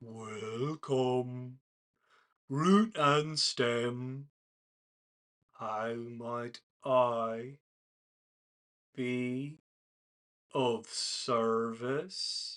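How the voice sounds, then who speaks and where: A man's put-on character voice at a medium pitch, very slow in pace, with long, frequent pauses. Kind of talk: polite, service-oriented.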